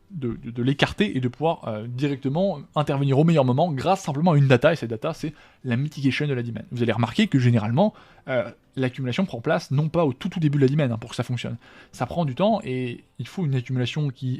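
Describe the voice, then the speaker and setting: At a very fast pace, a man talks in a somewhat breathy voice at a medium pitch with ordinary pitch variation. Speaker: trading teacher. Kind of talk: lecture. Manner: halting.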